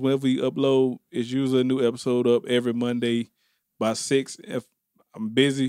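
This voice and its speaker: This man's voice sits at a medium pitch and moves at a fairly quick pace. The sound is dry and close, with no echo. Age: 30s. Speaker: podcast host. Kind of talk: casual chat. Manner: animated.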